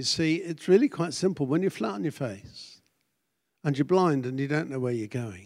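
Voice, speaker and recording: On a very clean recording with a silent background, a man with a British accent speaks at a fairly high pitch with lively intonation. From Britain. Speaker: pastor. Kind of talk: sermon.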